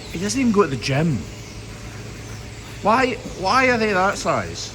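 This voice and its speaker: Man with a Scottish accent at a moderate pace, audible room echo, noticeable background noise. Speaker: hoof trimmer. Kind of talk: casual work commentary.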